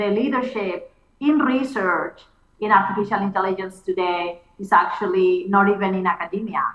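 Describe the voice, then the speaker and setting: Against noticeable background noise, a woman talks at a moderate pace with a medium pitch and ordinary pitch variation. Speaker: computer scientist. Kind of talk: keynote conversation.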